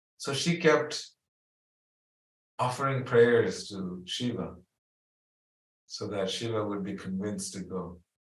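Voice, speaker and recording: A medium-pitched man talks very slowly with long, frequent pauses and lively intonation. His voice is somewhat breathy and swings widely in loudness. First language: not English. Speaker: spiritual teacher. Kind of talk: spiritual talk, storytelling. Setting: video call.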